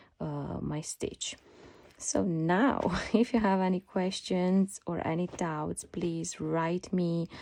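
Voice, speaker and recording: A woman with a non-native accent, fairly low pitch, a dark, mellow tone, ordinary pitch variation and a very slow pace. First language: not English. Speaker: sewing pattern designer. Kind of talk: tutorial. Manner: hesitant, many fillers.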